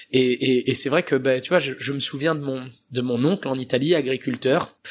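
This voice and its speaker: A man with an ordinary speaking voice at a moderate pace. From France, Italian family. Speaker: pizza chef. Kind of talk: interview. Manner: casual.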